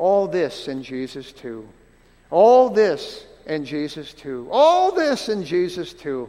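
A man's put-on character voice, high-pitched and squeaky, fairly slow, with very wide pitch swings. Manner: repeating over and over.

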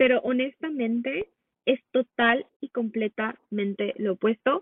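A woman's high voice, with ordinary pitch variation, unfolds at a fairly slow pace. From Mexico. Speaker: holistic nutrition coach. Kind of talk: casual interview chat.

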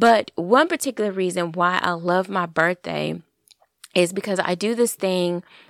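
An animated tone with ordinary pitch variation comes at a moderate pace, on a very clean recording with a silent background and a dry, close sound with no echo. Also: woman. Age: 40s. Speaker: podcast host. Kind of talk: casual monologue.

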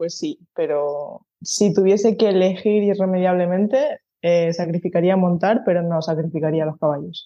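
This woman has an unremarkable speaking voice, medium in pitch with ordinary pitch variation, delivered at a fairly slow pace. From Spain, Canary Islands (Tenerife). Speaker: horse groom and stable manager. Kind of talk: interview conversation.

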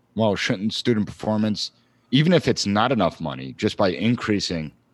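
A very fast speaker with very wide pitch swings, vocal fry and an American accent, set against a quiet background. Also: man. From Long Island, New York. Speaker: political science professor. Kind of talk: interview.

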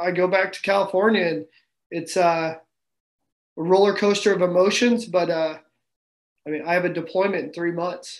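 A man speaks with a Midwestern American accent. His pitch sits high. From Kansas. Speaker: Marine staff sergeant. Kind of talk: interview testimony.

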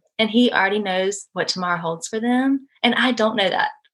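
Speaking in a Southern US accent, a woman keeps a moderate pace with ordinary pitch variation. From US South, Georgia. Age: 20s. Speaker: guest. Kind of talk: casual chat.

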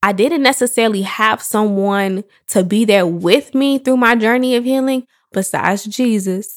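A woman with an ordinary speaking voice talks at a moderate pace and fairly high pitch, her intonation fairly even. The recording is very clean, with a silent background. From Chicago, South Suburbs. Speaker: podcast host and entrepreneur. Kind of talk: solo podcast monologue. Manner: casual, conversational.

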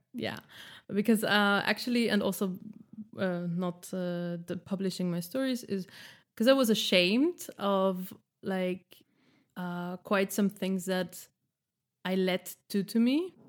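A woman with a German accent speaks at a very slow pace with long, frequent pauses, using a medium pitch and fairly even intonation. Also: very clean recording, silent background. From Austria. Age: 30s. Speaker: editor and stand-up comedian. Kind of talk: casual chat.

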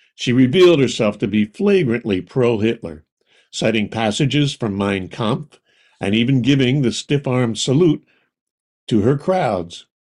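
A man speaks at medium pitch with lively intonation, at a moderate pace. He has a plain, everyday voice. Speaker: podcast narrator. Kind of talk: true-crime narration. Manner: measured, storytelling delivery with dry, wry edge; clear, even-paced, authoritative.

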